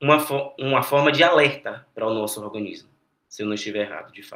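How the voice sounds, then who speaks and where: This man has a bright, sharp tone and a medium pitch. He talks at a very fast pace. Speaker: medical student tutor. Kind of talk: lecture. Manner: halting.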